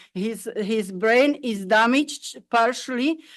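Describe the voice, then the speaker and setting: A woman speaking very slowly at a fairly high pitch. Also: quiet background. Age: 70s. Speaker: resident addressing council. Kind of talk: public delegation to council. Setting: council chamber. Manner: halting, with repetitions.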